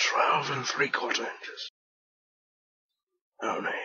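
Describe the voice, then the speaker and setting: A put-on character voice, raspy and extremely high, at a fairly slow pace. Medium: machinima.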